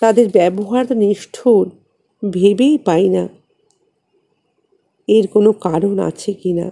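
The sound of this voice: Her dark, mellow tone and ordinary pitch variation mark this woman's slow delivery.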